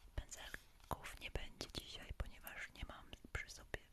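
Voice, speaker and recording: A woman whispering at a very slow pace. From Poland. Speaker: ASMR creator. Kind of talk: casual talk to camera, live stream chat. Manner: soft-spoken, whispering. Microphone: studio mic.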